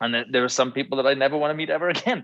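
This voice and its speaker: Speaking with a Welsh accent, the man has a fairly high pitch. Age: 30s. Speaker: former band musician. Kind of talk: casual chat. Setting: live stream interview.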